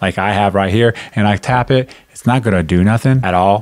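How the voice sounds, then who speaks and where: Moving at a fairly quick pace, a man speaks with a fairly low pitch and ordinary pitch variation. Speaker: tech reviewer. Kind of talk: tutorial. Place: home room. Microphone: studio mic.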